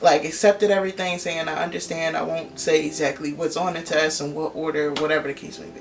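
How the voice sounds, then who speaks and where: A woman with a very deep, low pitch speaks very fast in an American accent, her intonation fairly even and her loudness swinging widely. Noticeable background noise runs underneath. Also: hardly any pauses. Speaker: vlogger, aspiring law student. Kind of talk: casual vlog storytelling.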